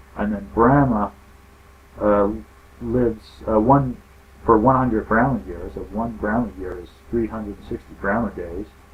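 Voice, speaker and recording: Pausing long and often, a man with a fairly low pitch speaks at a moderate pace with lively intonation. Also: big swings in loudness. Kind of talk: casual explainer talk to camera. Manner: soft-spoken in parts.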